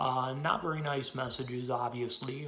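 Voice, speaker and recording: Noticeable background noise and audible room echo surround the recording. A man with an American accent speaks at a medium pitch. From Pennsylvania, US. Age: 20s. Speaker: political activist. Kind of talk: personal testimony. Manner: fast.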